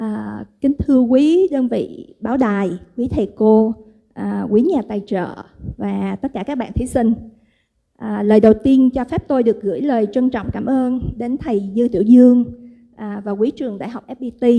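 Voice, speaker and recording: Talking at a moderate pace in a Vietnamese accent, a woman with a fairly high pitch and a dark, mellow tone shows ordinary pitch variation. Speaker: event organizer. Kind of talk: welcome speech.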